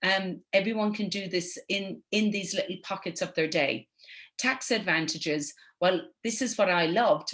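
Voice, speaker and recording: A woman with an Irish accent at medium pitch and moderate pace, over a quiet background. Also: ordinary pitch variation. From Ireland. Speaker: network marketing entrepreneur. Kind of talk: webinar presentation. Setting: online webinar.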